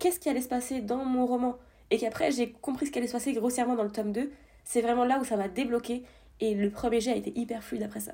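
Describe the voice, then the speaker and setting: A woman speaks at a fairly quick pace in a high pitch with ordinary pitch variation. Her tone is dark and mellow. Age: 20s. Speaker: debut novelist and escape game staffer. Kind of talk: casual interview chat.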